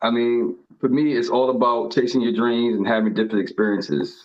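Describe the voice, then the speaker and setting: Here a man speaks at a medium pitch. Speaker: reality TV contestant. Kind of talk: interview. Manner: halting.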